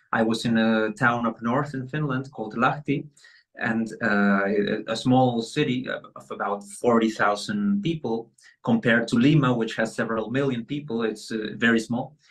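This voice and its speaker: The man holds a medium pitch and fairly even intonation while speaking at a moderate pace. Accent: Spanish. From Peru. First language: Spanish. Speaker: pianist and bandoneonist. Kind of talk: interview. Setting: video call.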